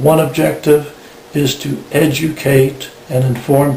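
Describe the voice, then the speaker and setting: Very slow speech with fairly even intonation, noticeable background noise and audible room echo. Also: man. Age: 60s. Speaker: tinnitus patient. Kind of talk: personal testimony. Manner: measured, formal.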